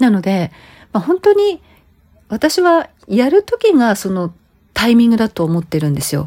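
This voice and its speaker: A woman with a dark, mellow tone and a somewhat breathy, fairly high voice speaks at a fairly slow pace, her pitch swinging very widely. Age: 50s. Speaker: image consultant and podcast host. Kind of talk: solo monologue podcast. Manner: conversational, many fillers.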